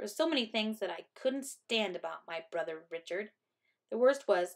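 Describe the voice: Lively intonation in plain reading aloud, over a quiet background.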